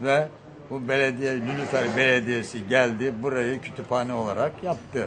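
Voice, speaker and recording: A man with a medium-pitched voice talks at a moderate pace over noticeable background noise and audible room echo. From Bursa, Turkey. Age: 80s+. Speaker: elderly villager. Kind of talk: street interview.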